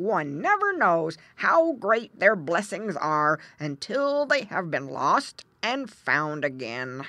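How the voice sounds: A put-on character voice, female-sounding, at a middle pitch with very wide pitch swings, very slow in pace and with hardly any pauses.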